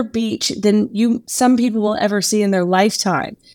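This woman talks at a moderate pace with a fairly high pitch. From Texas. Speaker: marketing agency owner. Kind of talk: interview.

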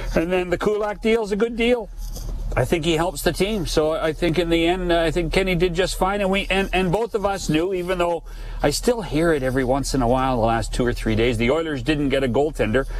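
With a Canadian accent, the speaker talks at a fairly quick pace with lively intonation and very even loudness, amid audible room echo and noticeable background noise. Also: man, high pitch for a man. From Western Canada, BC Okanagan. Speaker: hockey insider. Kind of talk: radio interview.

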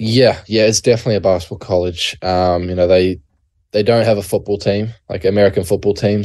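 A man speaks at a fairly quick pace in a fairly low voice with a New Zealand accent, his intonation fairly even against a quiet background. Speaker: college basketball player. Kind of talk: interview. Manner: halting, many fillers.

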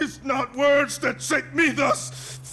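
A man uses a put-on character voice with an extremely high pitch and a bright, sharp tone, speaking at a slow pace. His intonation stays fairly even over faint background noise.

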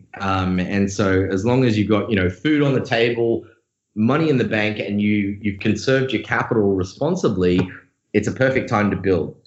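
A man's fairly low voice with ordinary pitch variation and very even loudness. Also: moderate pace. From Australia. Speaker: crypto company founder. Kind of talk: interview conversation.

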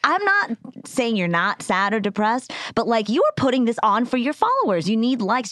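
A woman's voice with very wide pitch swings, a dry, close sound with no echo, and noticeable background noise. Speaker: comedian. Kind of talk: casual chat. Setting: studio.

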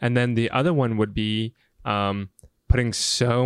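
With an American accent, a man speaks in an unremarkable speaking voice at medium pitch and fairly even intonation. The sound is dry and close, with no echo. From rural US South. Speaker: host's fiancé, guest. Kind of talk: casual chat. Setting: studio, video podcast.

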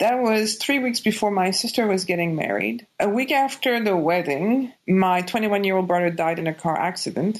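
The background is quiet. A woman speaks with a Quebec French accent and lively intonation. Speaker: doctor and life coach. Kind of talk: interview.

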